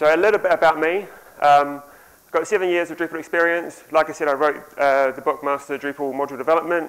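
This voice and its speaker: Speaking very fast, a man with a New Zealand accent has a fairly high pitch. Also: fairly even intonation. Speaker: software developer and author. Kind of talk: conference talk. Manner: conversational with frequent ums.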